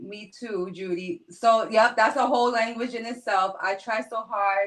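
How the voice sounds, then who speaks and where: In a New York accent, a woman speaks at a fairly slow pace with ordinary pitch variation. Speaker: live-stream host. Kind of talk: casual live-stream chat. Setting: live stream. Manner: animated.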